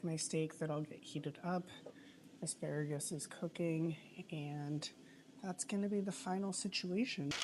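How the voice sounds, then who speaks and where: There is noticeable background noise behind this woman. She speaks at a fairly slow pace in a very deep, low pitch. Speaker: lifestyle vlogger. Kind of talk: casual vlog narration.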